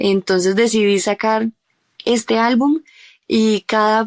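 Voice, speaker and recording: The recording is dry and close with no echo, over a quiet background. A woman speaks at a medium pitch with fairly even intonation. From Colombia, Bogotá. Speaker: singer-songwriter. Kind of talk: interview.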